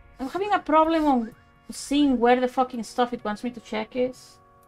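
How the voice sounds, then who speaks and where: Music plays in the background as a woman speaks with a high pitch. Her pace is moderate and her pitch variation ordinary. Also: long, frequent pauses. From Spain. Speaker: let's play streamer. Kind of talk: live gameplay commentary. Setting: low-quality home mic.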